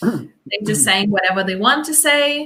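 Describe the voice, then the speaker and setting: A woman's medium-pitched voice with a bright, sharp tone and a Lithuanian accent. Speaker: dance instructor. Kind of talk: casual chat. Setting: live stream. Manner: halting.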